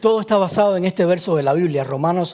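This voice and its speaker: A man with a Cuban accent talks at a fairly quick pace in a high pitch, his tone dark and mellow and his pitch variation ordinary. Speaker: preacher. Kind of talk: sermon. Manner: fast.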